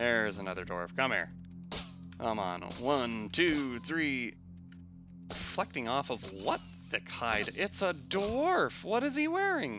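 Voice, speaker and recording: Over music in the background, a man at a medium pitch speaks at a very slow pace. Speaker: gaming commentator. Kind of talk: let's play commentary. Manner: stutters, mixes up words.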